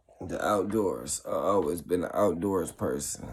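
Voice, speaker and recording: A very deep, low-pitched man's voice with vocal fry. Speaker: vlogger. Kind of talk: casual monologue vlog. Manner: slow.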